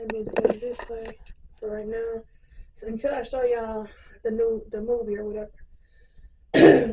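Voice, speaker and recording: At a fairly slow pace, a woman talks at a fairly high pitch with monotone, flat intonation. Her loudness swings a lot, and background noise is noticeable. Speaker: YouTuber, movie reviewer. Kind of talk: casual vlog review.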